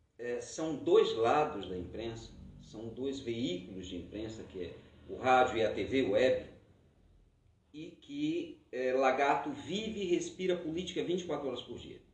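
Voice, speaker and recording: At a fairly slow pace, a man with a fairly high pitch makes very wide pitch swings and big swings in loudness. Room echo is audible. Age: 50s. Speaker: podcast host. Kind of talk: debate moderation.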